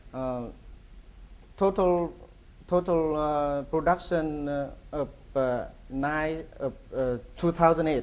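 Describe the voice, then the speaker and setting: A man's fairly high voice at a very slow pace, broken by long, frequent pauses. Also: fairly even intonation. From Vietnam. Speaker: feed company executive. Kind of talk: conference presentation. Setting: conference with audience. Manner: halting, many fillers and repetitions.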